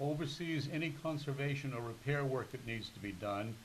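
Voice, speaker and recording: Heard with audible room echo and noticeable background noise, a man with a New England accent talks at a moderate pace in a fairly high pitch with ordinary pitch variation. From Massachusetts, Newton. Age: 80s+. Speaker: retired museum curator. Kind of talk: interview.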